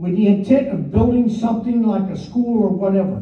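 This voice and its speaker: Loud and high-pitched, a man's voice carries through audible room echo. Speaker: resident speaking at public comment. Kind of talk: public comment at council meeting. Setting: council meeting room.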